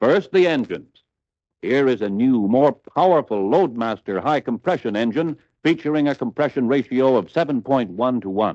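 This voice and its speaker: A man with an unremarkable speaking voice talks at a moderate pace and medium pitch, his intonation lively. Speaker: narrator. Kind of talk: vintage dealer training film narration. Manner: upbeat, promotional.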